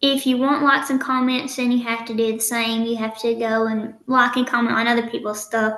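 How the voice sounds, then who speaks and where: Speaking with a strong Southern US accent, a woman has a high-pitched voice. Audible echo fills the room. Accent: strong country Southern. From Eastern Kentucky. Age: 20s. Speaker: nursing student and social media influencer. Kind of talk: podcast interview.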